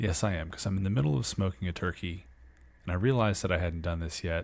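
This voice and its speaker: Very deep and low, with vocal fry, a man's voice comes through quiet at a fairly quick pace. The recording is very clean, the background silent. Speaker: sports podcast host. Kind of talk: podcast monologue. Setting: at home early morning. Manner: quiet, hushed.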